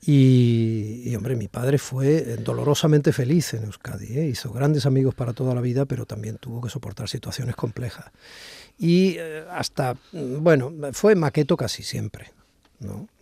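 A man talks at a moderate pace with a medium pitch, ordinary pitch variation and a dark, mellow tone that is somewhat breathy. The sound is dry and close, with no echo. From Basque Country (Cruces, Barakaldo). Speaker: radio host. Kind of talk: radio interview. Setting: studio with a COVID screen.

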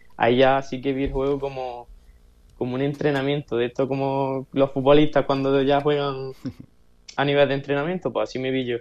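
This man talks at a moderate pace in a fairly high pitch, his intonation monotone and flat. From Granada, Andalusia. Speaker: esports player. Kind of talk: interview.

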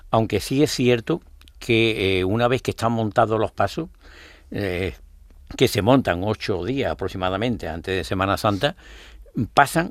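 On a very clean recording with a silent background, a man speaks at medium pitch and a fairly slow pace with lively intonation. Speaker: brotherhood leader and election candidate. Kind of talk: radio interview. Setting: radio studio. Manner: halting.

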